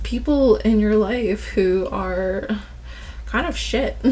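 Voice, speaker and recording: Noticeable noise sits behind the woman's voice. She talks at a very slow pace. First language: Ilocano as a child, now native English. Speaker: tarot card reader. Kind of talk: tarot reading monologue. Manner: casual, filler-heavy.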